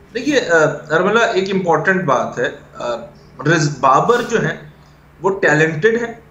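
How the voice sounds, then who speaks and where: Speaking at a very slow pace with long, frequent pauses, a high-pitched man uses lively intonation against audible room echo. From Pakistan. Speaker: cricket analyst. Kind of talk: interview. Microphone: video call.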